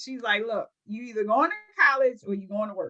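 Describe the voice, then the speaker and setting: A woman with a Baltimore accent speaks in a raised, projected voice with a bright, sharp tone. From Baltimore, Maryland. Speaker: home care business owner. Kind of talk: interview.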